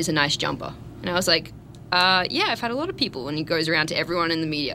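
An enthusiastic woman speaks with a bright, sharp tone and a fairly low pitch. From Australia. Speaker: TV sports reporter. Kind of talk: radio interview.

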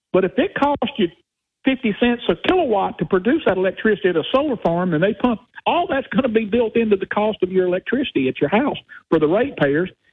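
Speaking very fast in a Southern US accent, a man with a high pitch makes very wide pitch swings. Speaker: caller. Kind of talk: talk radio call-in. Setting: phone call.

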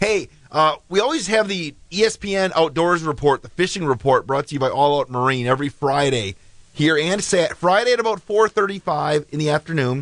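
With an unremarkable speaking voice, a man talks at a moderate pace and a fairly high pitch, using lively intonation and hardly any pauses. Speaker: radio host. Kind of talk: live morning radio show patter. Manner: chatty, upbeat.

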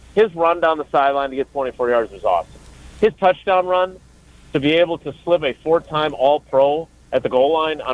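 A man with an American accent and an unremarkable speaking voice, fairly high in pitch, at a moderate pace with ordinary pitch variation. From Wisconsin, Milwaukee area. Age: 50s. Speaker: sports reporter. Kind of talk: casual chat.

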